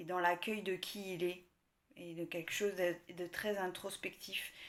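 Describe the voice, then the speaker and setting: Fairly slow speech from a woman, pitched in the middle of her range. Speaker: tarot card reader. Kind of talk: tarot reading video. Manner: soft-spoken.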